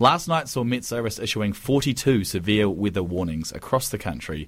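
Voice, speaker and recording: On a very clean recording with a silent background, a man with a New Zealand accent talks at a moderate pace, using a fairly low pitch and lively intonation. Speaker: radio newsreader. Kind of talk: news reading, scripted bulletin. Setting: radio studio. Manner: formal, brisk, even-paced; occasionally stumbles and self-corrects.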